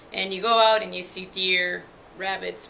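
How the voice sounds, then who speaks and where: Noticeable background noise accompanies a woman speaking at a medium pitch with a Mexican accent. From Mexico, Puebla. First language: Spanish. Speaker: university student. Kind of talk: testimony. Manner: casual, filler-heavy.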